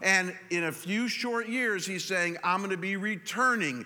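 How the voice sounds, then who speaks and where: A man's raised, projected voice, high in pitch and bright and sharp in tone, at a moderate pace with ordinary pitch variation. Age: 50s. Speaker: pastor. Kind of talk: sermon. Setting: church with congregation. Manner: halting, with frequent repetitions.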